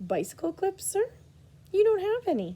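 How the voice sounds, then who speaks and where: A woman puts on a squeaky character voice, pitched extremely high. She speaks at a moderate pace. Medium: read story. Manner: polite, deferential.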